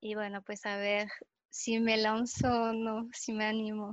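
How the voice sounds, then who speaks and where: A woman's fairly high-pitched voice in a French accent, flat and monotone in intonation. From France. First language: French (speaking Spanish). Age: 20s. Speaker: chemist in cosmetics. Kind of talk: casual chat.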